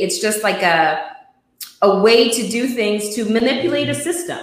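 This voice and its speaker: At a fairly slow pace, the speaker talks in an ordinary speaking voice. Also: woman. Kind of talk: casual talk show hosting.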